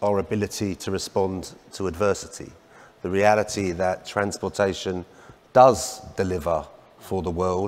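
Delivered at a fairly slow pace, this is a normal speaking voice. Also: man. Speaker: transport workers' union leader. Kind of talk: panel discussion. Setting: stage with audience. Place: hall.

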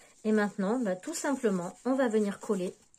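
Her voice has a dark, mellow tone with a slightly husky edge and a medium pitch. The woman speaks at a fairly slow pace with ordinary pitch variation.

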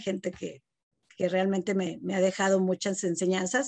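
A woman talks at a moderate pace, and the background is quiet. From Mexico, Monterrey; Nuevo León, Mexico. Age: 50s. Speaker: education company co-founder. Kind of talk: interview. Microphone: video call.

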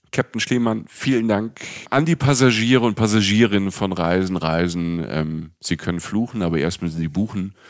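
A man with an unremarkable speaking voice and fairly low pitch talks at a moderate pace with lively intonation, on a very clean recording with a silent background. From Palatinate, Germany. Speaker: travel podcast co-host and journalist. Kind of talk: casual chat.

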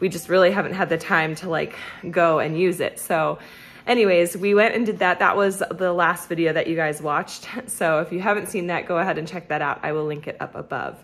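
Fairly low in pitch for a woman, she has a plain, everyday voice and talks at a fairly quick pace with fairly even intonation. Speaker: family vlogger. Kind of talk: casual vlog chat. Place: home room. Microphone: phone near.

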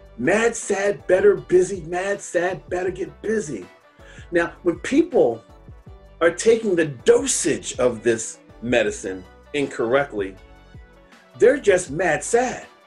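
A man's upbeat, energetic tone at a fairly slow pace with long, frequent pauses, over faint music in the background. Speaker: motivational speaker. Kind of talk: motivational speech to camera. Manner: upbeat, energetic, direct. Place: home room.

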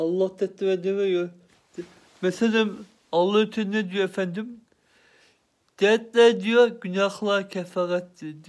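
A man with a high pitch speaks very slowly, leaving long, frequent pauses. His intonation is fairly even, and the background is quiet. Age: 20s. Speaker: religious teacher; speaker. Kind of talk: religious talk; religious talk, sermon-like chat. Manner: halting. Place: home room. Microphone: phone near.

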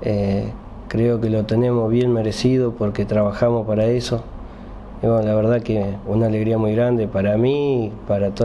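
This man talks at a moderate pace in a monotone, flat intonation. Light background noise can be heard. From Argentina. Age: 30s. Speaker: racing driver. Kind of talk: interview. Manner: halting. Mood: calm, pleased. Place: studio. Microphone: handheld.

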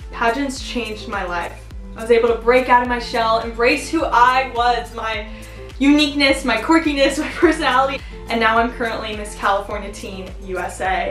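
A woman's fairly high voice with ordinary pitch variation at a moderate pace, faint background music and audible room echo. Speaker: pageant titleholder and content creator. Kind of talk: audition video talk to camera. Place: home room.

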